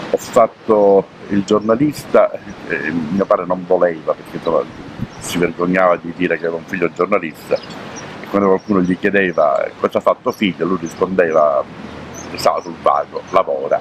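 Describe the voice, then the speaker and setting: Moderately paced male speech with background noise that is noticeable. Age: 60s. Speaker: retired journalist and sailor. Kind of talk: interview. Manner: hesitant, many fillers.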